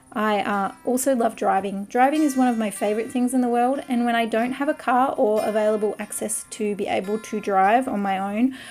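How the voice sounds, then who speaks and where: A woman with an Australian accent at a fairly high pitch and ordinary pitch variation, talking at a fairly quick pace with hardly any pauses, music in the background. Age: 30s. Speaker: artist and craft youtuber. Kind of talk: casual vlog talk while drawing.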